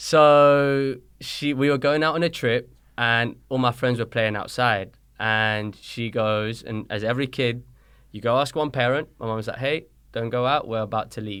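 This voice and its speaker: On a very clean recording with a silent background, a man with a British accent speaks at medium pitch and a moderate pace, his intonation fairly even. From born in Colombia, raised in London from age six. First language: Spanish. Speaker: soccer coach. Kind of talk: podcast interview. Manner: casual, conversational.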